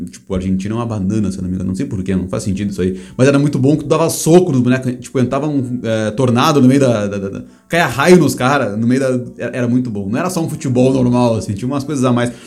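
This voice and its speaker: Amid audible room echo, a man at medium pitch talks very fast with hardly any pauses and ordinary pitch variation. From Brazil. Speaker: podcast host. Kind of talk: casual chat.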